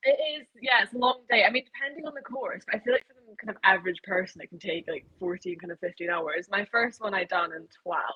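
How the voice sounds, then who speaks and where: A woman's medium-pitched voice in a Scottish accent, with lively intonation, a very fast pace, big swings in loudness and hardly any pauses. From Scotland. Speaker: triathlete. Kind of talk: podcast interview. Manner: casual, with many fillers.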